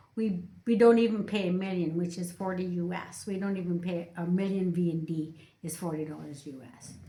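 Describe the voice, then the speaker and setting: A woman with a bright, sharp tone talks at a fairly slow pace, and room echo can be heard. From Canada. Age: 60s. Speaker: YouTuber. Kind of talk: casual chat.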